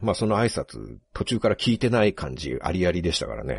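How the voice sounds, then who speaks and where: A man's very deep, low voice with vocal fry, at a fairly quick pace, in a dry, close sound with no echo. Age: 40s. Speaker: writer and podcast host. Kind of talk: casual chat.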